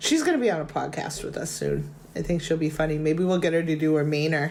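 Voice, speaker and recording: A woman with a Boston accent talks at a very fast pace, with audible room echo. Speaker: podcast host. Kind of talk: casual chat.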